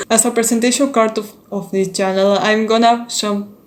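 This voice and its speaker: A woman with a Spanish accent speaks at a fairly slow pace in a monotone, flat intonation. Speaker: K-pop YouTuber. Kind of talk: casual vlog introduction. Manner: halting, with repetitions.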